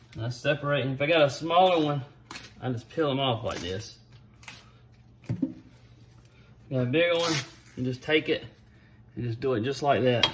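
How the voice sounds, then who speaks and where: Speaking at a moderate pace with ordinary pitch variation, a man leaves long, frequent pauses over light background noise. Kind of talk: cooking tutorial. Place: kitchen. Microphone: phone near.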